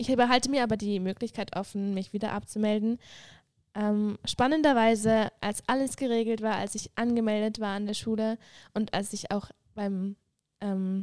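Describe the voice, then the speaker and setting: A woman talks at a moderate pace in a normal speaking voice with a fairly high pitch. Her intonation stays fairly even. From Switzerland, Graubünden. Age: 20s. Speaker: mission school student, former medical student. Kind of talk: casual chat.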